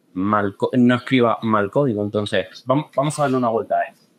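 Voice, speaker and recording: In a Canarian accent, a man speaks at a moderate pace and medium pitch with ordinary pitch variation. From Canary Islands, Tenerife. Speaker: software tech lead, conference speaker. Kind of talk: conference talk. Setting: stage with audience. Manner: hesitant, many fillers.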